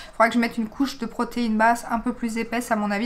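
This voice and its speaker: A woman talks at a very fast pace against noticeable background noise. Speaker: beauty vlogger. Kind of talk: casual vlog review. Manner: chatty, many hesitations.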